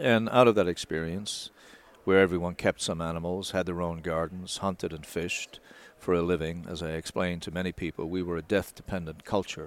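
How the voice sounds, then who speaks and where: With a Newfoundland accent, a man talks at a fairly quick pace in a very deep, low pitch and fairly even intonation. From Newfoundland, Canada. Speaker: wildlife conservation expert. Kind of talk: interview. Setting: trade show.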